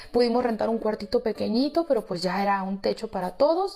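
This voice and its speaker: Noticeable background noise runs under this speech. The pace is fairly quick and the intonation lively. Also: woman. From Mexico, Guadalajara, Jalisco. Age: 40s. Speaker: storyteller sharing life story. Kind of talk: personal testimony, casual storytelling. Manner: emotional, conversational.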